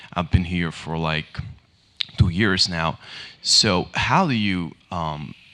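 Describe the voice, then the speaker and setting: A man with a Hungarian accent, very deep and low in pitch, bright and sharp in tone, with fairly even intonation at a very slow pace. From Hungary. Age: 20s. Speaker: student, audience member. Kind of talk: audience question. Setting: public panel event with audience.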